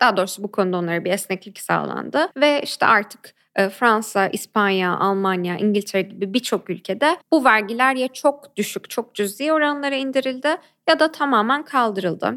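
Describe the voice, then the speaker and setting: With an unremarkable speaking voice at medium pitch, a woman speaks at a moderate pace with lively intonation and hardly any pauses, in a very clean recording with a silent background and a dry, close sound with no echo. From Turkey, Ankara. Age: 20s. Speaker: activist and human rights lawyer. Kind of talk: interview.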